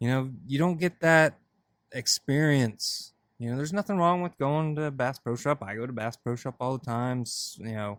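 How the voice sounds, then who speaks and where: A man with a medium-pitched, plain, everyday voice talks at a moderate pace with ordinary pitch variation, his dry, close sound having no echo in a very clean recording with a silent background. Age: young. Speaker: podcast host. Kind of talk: casual chat.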